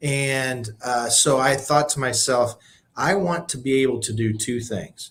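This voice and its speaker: A somewhat breathy man at medium pitch with an American accent and ordinary pitch variation. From Illinois, US Midwest. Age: 50s. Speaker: nonprofit CEO and leadership coach. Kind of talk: podcast interview.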